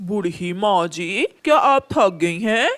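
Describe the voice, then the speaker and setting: A cartoonish character voice at a middle pitch moves along at a fairly slow pace. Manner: wheedling, fake politeness.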